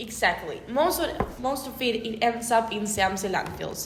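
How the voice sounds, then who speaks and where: A woman with a Spanish accent speaks at a fairly high pitch and moderate pace, with lively intonation. Noticeable background noise and audible room echo are present. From Argentina, Buenos Aires area. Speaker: environmental engineer. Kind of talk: casual chat.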